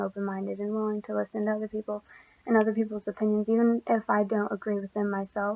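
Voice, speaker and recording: Soft-spoken, a woman talks at a fairly quick pace in a medium pitch with monotone, flat intonation. The sound is dry and close with no echo. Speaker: college student. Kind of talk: class presentation. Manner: quiet.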